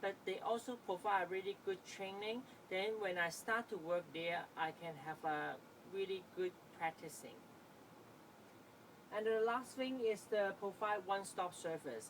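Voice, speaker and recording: Speaking with a Chinese accent, a woman talks at a fairly slow pace in a medium pitch with ordinary pitch variation. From Hong Kong. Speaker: student. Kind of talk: class presentation. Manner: halting.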